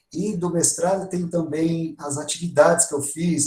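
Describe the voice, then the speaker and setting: Somewhat breathy, a man's dark, mellow voice carries audible room echo. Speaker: music education professor. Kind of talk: online workshop lecture. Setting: online live stream.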